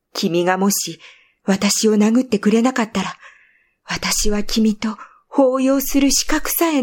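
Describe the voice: There is little sound in the background. The speaker is doing plain reading aloud.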